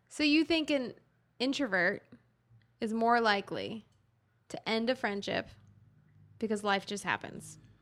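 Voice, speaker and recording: A woman talks at a fairly slow pace with long, frequent pauses. Her fairly high pitch shows ordinary variation, on a very clean recording with a silent background. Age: 20s. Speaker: podcast co-host. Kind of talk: casual chat.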